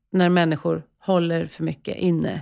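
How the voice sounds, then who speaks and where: A woman speaks at a fairly low pitch in an ordinary speaking voice. The recording is very clean, with a silent background. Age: 40s. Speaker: podcast host and coach. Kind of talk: interview. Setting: studio.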